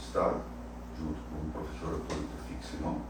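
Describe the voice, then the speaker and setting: Audible room echo surrounds a man's voice. Noticeable background noise is present too. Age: 80s+. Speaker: cardiologist. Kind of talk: interview. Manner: halting.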